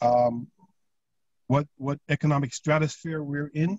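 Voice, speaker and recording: Over a quiet background with dry sound and no echo, a man speaks at a fairly slow pace, with fairly high pitch, fairly even intonation and a somewhat breathy quality. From Jamaica. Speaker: community leader. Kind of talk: panel discussion. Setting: video call. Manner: halting, repeats words. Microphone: video call.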